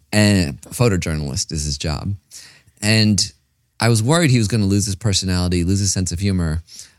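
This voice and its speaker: A man with a plain, everyday voice and an American accent talks at a fairly quick pace and a fairly low pitch, with ordinary pitch variation. The recording is very clean, with a silent background. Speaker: podcast host, meditation teacher. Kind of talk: casual interview.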